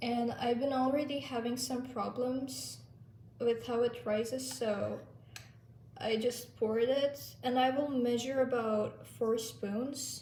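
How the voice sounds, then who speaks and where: A woman's high voice with a dark, mellow tone and a Turkish accent, very slow and monotone with flat intonation, in audible room echo. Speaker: lifestyle vlogger. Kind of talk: tutorial. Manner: casual.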